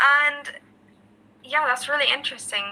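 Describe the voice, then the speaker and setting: Over noticeable background noise, a woman with an Irish accent speaks in a raised, projected voice at a high pitch with fairly even intonation. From Ireland. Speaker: English tutor. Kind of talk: casual chat.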